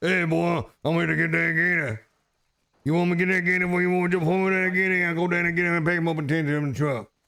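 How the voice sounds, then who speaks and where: Putting on a character voice with a strong Louisiana accent, a man talks very fast in a high pitch. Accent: thick Cajun. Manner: friendly, jovial.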